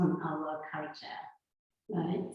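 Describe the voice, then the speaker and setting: With a Japanese accent, a woman talks in a space with audible room echo. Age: 50s. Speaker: sound healer. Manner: loud; halting.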